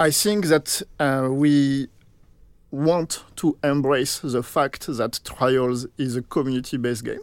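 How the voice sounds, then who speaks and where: Spoken at a very slow pace with a French accent, the voice shows ordinary pitch variation in a very clean recording over a silent background. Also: man, fairly high pitch for a man, dry, close sound with no echo. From France. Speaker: game producer. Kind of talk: interview.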